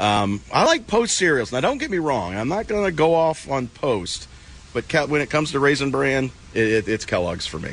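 Noticeable background noise sits behind a man speaking at a moderate pace, his medium pitch making very wide swings. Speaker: hockey journalist. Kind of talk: casual analytical chat about hockey. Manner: filler-heavy, repeats words, loose conversational flow.

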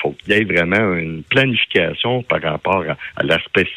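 Noticeable background noise fills the clip. Through it comes a man with a very deep, low pitch. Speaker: farmers' union leader. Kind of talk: radio interview. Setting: phone call.

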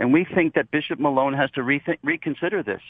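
The man speaks in a normal speaking voice, fairly high in pitch and varying in an ordinary way. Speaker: activist. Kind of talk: radio interview.

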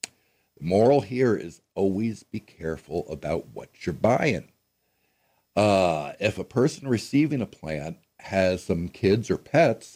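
Over a very clean, silent background, a man speaks with an American accent and a dark, mellow tone with vocal fry. His pitch swings very widely at a fairly slow pace. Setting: radio studio. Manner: casual, folksy with many fillers.

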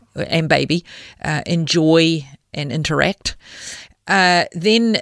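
In a dry, close sound with no echo and a silent background, a woman with a fairly low pitch speaks with ordinary pitch variation on a very clean recording. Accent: New Zealand. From New Zealand. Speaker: charity CEO. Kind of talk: interview. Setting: studio.

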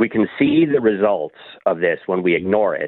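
A man talks with an American accent at a moderate pace and a medium pitch. He has an ordinary speaking voice. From US. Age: 40s. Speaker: high school social studies teacher. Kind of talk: interview. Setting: phone call.

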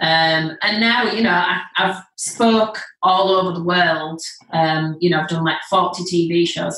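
There is noticeable background noise behind a woman speaking with a Leeds accent. Her intonation stays fairly even. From northern England, Leeds. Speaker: executive coach and hypnotist. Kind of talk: casual interview. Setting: video call.

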